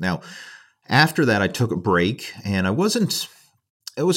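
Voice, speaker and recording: In a very clean recording with a silent background, a man with a Canadian accent speaks at a medium pitch that swings very widely. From Canada. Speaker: bodybuilder and online fitness coach. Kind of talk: casual interview chat.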